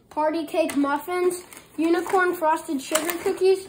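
Over noticeable background noise, a woman speaks at an extremely high pitch. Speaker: family vacation vlogger. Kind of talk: casual vlog chat. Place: kitchen. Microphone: phone near.

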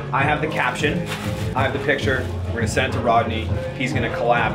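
A man speaks at a very fast pace with ordinary pitch variation. Loud music plays in the background. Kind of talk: casual vlog chat. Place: office. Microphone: camera far.

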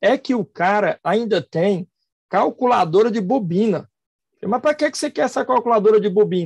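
Speaking at a high pitch, a man keeps a moderate pace and lively intonation, with a dry sound with no echo and a quiet background. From Fortaleza, Ceará, Brazil; Ceará, Brazil. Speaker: accountant and professor, SPED specialist; professor. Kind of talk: online lecture. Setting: live stream, video call. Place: home room. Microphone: video call.

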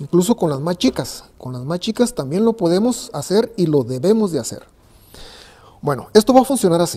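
A man with a high pitch and a dark, mellow tone speaks at a moderate pace. His voice makes big swings in loudness and very wide pitch swings. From Mexico, Ensenada, Baja California. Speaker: carpenter. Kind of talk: tutorial. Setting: workshop. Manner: halting. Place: workshop.

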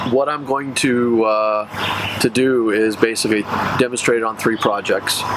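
Background noise is noticeable. The speaker talks at a moderate pace. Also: man. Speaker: tractor owner reviewer. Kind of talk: casual vlog chat. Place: open country.

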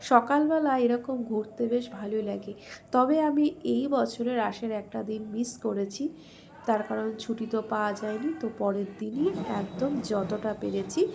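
The speech has ordinary pitch variation, set against noticeable background noise. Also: woman, fairly high pitch for a woman. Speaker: vlogger. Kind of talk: travel vlog narration.

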